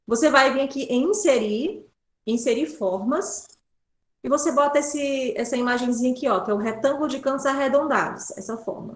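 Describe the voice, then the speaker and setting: This woman speaks at a moderate pace with a high pitch and lively intonation. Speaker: pedagogy student workshop presenter. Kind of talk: tutorial.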